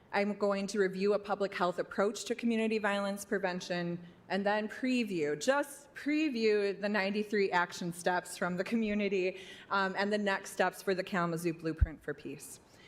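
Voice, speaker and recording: At a moderate pace and medium pitch, a woman talks in a plain, everyday voice with ordinary pitch variation. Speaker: violence prevention program presenter. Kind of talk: public presentation to city commission.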